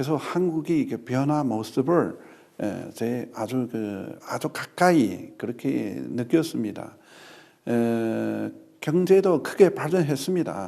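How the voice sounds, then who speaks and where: A man with a Chinese accent speaks at a very slow pace and medium pitch, his dark, mellow tone carrying lively intonation. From China. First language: Chinese (speaking Korean). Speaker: ambassador. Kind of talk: formal interview. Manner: halting, many fillers.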